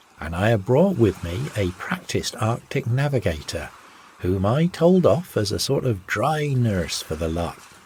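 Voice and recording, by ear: Someone is reading aloud in a natural voice.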